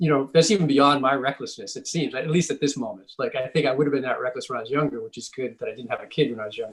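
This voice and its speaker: A man with an American accent, somewhat breathy and fairly high-pitched, at a very fast pace with hardly any pauses, ordinary pitch variation and big swings in loudness. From Massachusetts (Scituate, near Boston). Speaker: author. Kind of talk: author talk conversation. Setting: library event with moderator. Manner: halting, many false starts.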